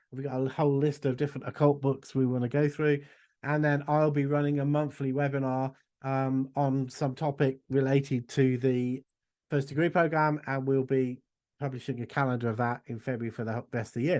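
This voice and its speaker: Over a quiet background, a man with an English accent talks fairly quickly at a medium pitch in a monotone, flat way. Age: 60s. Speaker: esoteric school director and magic teacher. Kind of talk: casual interview chat.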